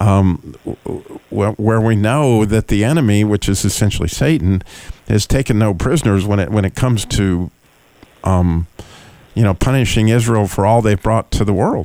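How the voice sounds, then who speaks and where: A man with an ordinary speaking voice talks at a fairly low pitch and a moderate pace, with ordinary pitch variation and very even loudness. The sound is dry and close with no echo. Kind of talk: interview. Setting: radio studio. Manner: warm, laughs often.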